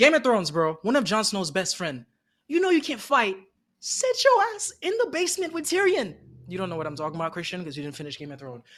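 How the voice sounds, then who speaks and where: A man talks at a very fast pace in a high, animated voice. His pitch swings very widely. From outside the US. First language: not English. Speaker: anime podcast co-host. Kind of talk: casual chat.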